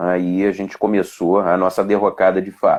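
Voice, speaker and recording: A man talks at a fairly low pitch. His pace is fairly slow. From Mato Grosso do Sul, Brazil (raised largely in Rio de Janeiro). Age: 40s. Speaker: police officer and political candidate. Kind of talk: interview. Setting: Instagram live video. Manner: halting, many fillers.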